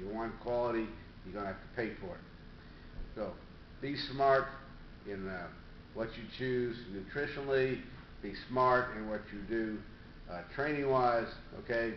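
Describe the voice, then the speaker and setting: The voice moves at a fairly slow pace with ordinary pitch variation, long, frequent pauses and big swings in loudness. Audible room echo and light background noise fill the recording. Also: man. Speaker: fitness coach. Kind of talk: casual vlog chat. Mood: calm, advising. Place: home room. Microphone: webcam.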